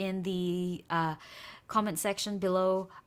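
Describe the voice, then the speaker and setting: In a normal speaking voice, a woman at medium pitch speaks at a fairly slow pace with fairly even intonation, on a very clean recording with a silent background. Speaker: English teacher. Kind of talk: tutorial. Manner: code-switching Burmese and English.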